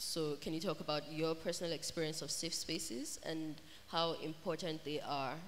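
Against light background noise, a woman with a very deep, low pitch talks at a moderate pace with fairly even intonation. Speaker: festival moderator. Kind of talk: moderated author panel Q&A. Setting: stage with audience. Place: hall. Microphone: handheld.

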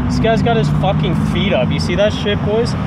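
The pace of the speech is moderate, while loud noise fills the background. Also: man. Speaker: driver vlogger. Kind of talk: casual vlog chat. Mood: playful, mildly annoyed. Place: car. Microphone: camera far.

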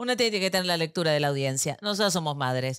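A woman with an Argentine accent uses very wide pitch swings. The recording is very clean, with a silent background and a dry, close sound with no echo. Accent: Argentine Spanish (voseo). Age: 40s. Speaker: podcast co-host. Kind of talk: casual chat.

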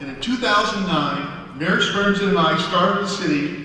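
Over light background noise and strong room echo, a man speaks fairly slowly in a raised, projected voice with ordinary pitch variation. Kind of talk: public speech. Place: stage. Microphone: podium.

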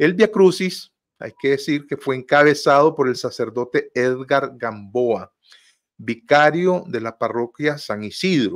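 In quiet surroundings, a man delivers his words at a very slow pace. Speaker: host of a political talk show. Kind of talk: news commentary. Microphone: video call.

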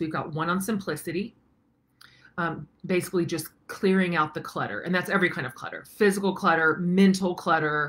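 Fairly quick and fairly even in intonation, a woman speaks at a fairly low pitch. Her tone is bright and sharp. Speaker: online course host. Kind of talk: casual vlog chat. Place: home room. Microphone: webcam.

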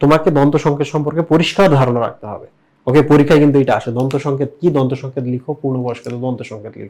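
A man's fairly high voice with big swings in loudness. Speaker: biology teacher. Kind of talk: whiteboard lecture. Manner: animated, lots of rhetorical questions.

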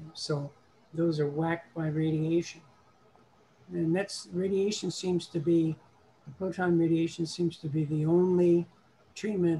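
Over light background noise, a man with a high, dark, mellow voice speaks fairly slowly in a monotone, flat delivery with long, frequent pauses. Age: 70s. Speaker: prostate cancer patient in support group. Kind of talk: audience questions in online meeting. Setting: video call. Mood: matter-of-fact about illness. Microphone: video call.

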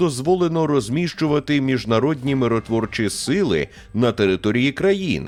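A man's fairly high-pitched voice with very wide pitch swings, at a fairly slow pace. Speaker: news presenter. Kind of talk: news reading.

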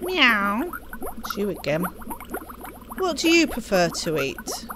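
In a put-on character voice, a woman with a fairly high pitch makes very wide pitch swings at a fairly slow pace over clear background noise. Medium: game stream.

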